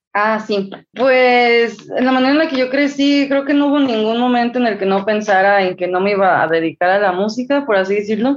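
A woman talks at a fairly quick pace with hardly any pauses. Her loudness stays very even. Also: fairly high pitch for a woman, ordinary pitch variation. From Mexico. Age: 20s. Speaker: singer-songwriter. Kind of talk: interview.

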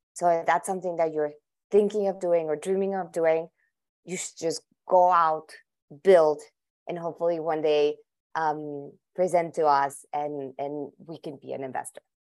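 With a Spanish accent, a woman of fairly low pitch talks at a moderate pace with fairly even intonation, long and frequent pauses, and big swings in loudness, against a quiet background. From Colombia, Bogota. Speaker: venture capitalist. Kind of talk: interview. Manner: halting, many repetitions.

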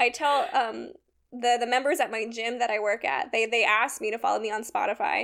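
A woman with an American accent, fairly high in pitch, animated in tone and lively in intonation, at a fairly quick pace in a very clean recording with a silent background. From California, Sacramento area. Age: 20s. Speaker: instrument repair technician. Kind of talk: casual chat.

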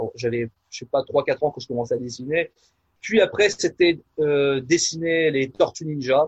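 This somewhat breathy voice moves at a moderate pace. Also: man. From France, Nièvre. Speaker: pastor and musician. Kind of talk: casual interview. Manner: halting, many fillers.

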